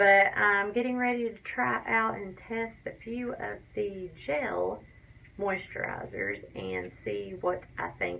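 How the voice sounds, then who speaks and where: Very slowly and with a strong Tennessee accent, a woman speaks amid audible room echo. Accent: Tennessee Southern US accent, fairly strong. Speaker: beauty and crafts vlogger. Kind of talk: casual vlog tutorial talk. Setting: home bathroom.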